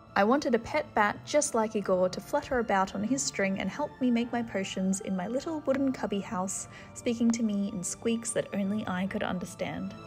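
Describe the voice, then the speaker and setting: With music in the background, a woman with a fairly high pitch and lively intonation talks at a fairly quick pace with hardly any pauses. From Australia. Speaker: milliner and costumier. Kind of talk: storytelling.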